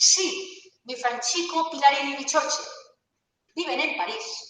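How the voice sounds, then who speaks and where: With audible room echo around her, a woman speaks at a very slow pace and a high pitch. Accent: Aragonese. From Aragón, Spain. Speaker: law professor. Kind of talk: lecture. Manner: animated.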